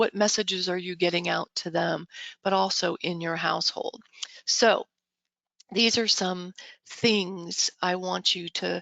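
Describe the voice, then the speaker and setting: A woman with a medium pitch speaks at a fairly slow pace, with long, frequent pauses. Her voice carries vocal fry. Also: fairly even intonation. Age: 60s. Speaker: real estate brokerage director and motivational speaker. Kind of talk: motivational talk. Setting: video call. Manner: conversational.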